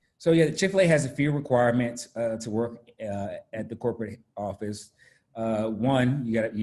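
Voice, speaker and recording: A man with an American accent, medium pitch, ordinary pitch variation and a fairly quick pace. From US South, Raleigh, North Carolina. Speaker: corporate business speaker. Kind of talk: talk to students. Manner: halting, many fillers.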